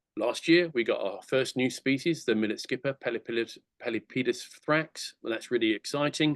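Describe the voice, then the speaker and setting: Someone with an English accent speaks with ordinary pitch variation and hardly any pauses in a dry, close sound with no echo. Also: man, medium pitch for a man. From England. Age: 60s. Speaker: conservation charity director. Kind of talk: presentation talk. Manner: fast; enthusiastic, halting with fillers.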